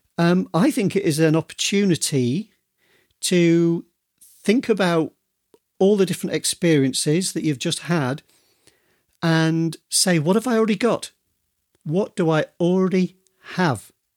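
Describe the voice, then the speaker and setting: A man with a Yorkshire accent and a high pitch speaks at a fairly slow pace with long, frequent pauses, in a dry, close sound with no echo. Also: ordinary pitch variation. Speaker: podcast host and author. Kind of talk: solo podcast monologue. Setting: video recording.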